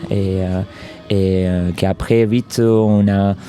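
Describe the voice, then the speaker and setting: A man with a fairly low pitch and a slight Argentine accent speaks in a fairly even intonation amid noticeable background noise. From Argentina. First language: Spanish (speaking French). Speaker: circus artist and stuntman. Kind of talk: interview. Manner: halting.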